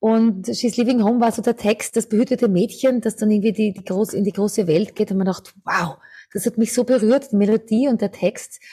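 A woman's somewhat breathy voice with a dark, mellow tone, fairly high pitch, fairly even intonation and a fairly quick pace. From Austria, Lower Austria (near St. Pölten). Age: 50s. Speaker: singer and vocal coach. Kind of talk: interview.

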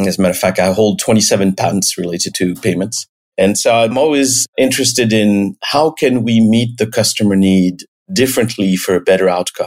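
A man's fairly low voice in a French accent, at a moderate pace with ordinary pitch variation. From France, the Alps. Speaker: payments company executive. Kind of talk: interview.

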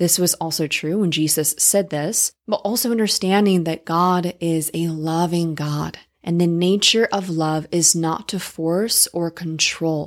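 A woman with a fairly low pitch and an unremarkable speaking voice talks at a fairly slow pace with hardly any pauses. Her intonation is fairly even, and the recording is very clean with a silent background. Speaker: podcast host. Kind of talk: interview, faith-based podcast.

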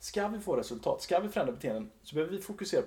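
A man at a very fast pace. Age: 30s. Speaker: entrepreneur, behavior change company leader. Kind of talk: casual interview chat.

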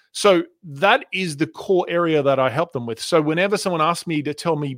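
Speaking at a moderate pace, a man with an Australian accent and fairly high pitch shows ordinary pitch variation in a dry, close sound with no echo. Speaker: communication and sales coach. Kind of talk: interview.

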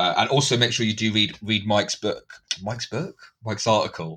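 A man talks at a fairly quick pace. His medium-pitched voice has a bright, sharp tone. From UK. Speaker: podcast host, political scientist. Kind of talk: casual podcast chat.

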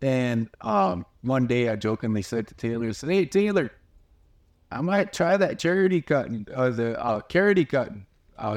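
Talking at a fairly quick pace with lively intonation, a man comes through on a very clean recording with a silent background. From US Great Plains, Pine Ridge Reservation, South Dakota. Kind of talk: interview. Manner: halting, frequent repetitions and fillers.

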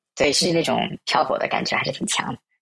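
A man talks at a very fast pace. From Shanghai, China. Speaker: emigrant interviewee, tech worker. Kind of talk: interview.

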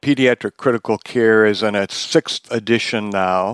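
At a fairly slow pace and with ordinary pitch variation, the speaker has an American accent, recorded dry and close with no echo against a silent, very clean background. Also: man. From Wisconsin, US Midwest. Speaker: pediatric intensive care physician and professor. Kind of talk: interview, medical discussion. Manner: hesitant, many filler words.

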